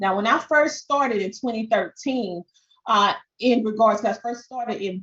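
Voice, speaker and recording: Somewhat breathy and fairly high, a woman's voice with a strong Southern accent moves at a moderate pace. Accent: strong Southern twang. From US South. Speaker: podcast and social media coach. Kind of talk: webinar presentation.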